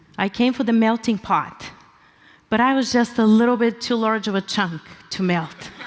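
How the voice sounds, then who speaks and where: A woman speaks with a Bulgarian accent, her pitch fairly high and her loudness very even. Noticeable background noise runs beneath her voice. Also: ordinary pitch variation, moderate pace. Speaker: pastor. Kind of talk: conference talk.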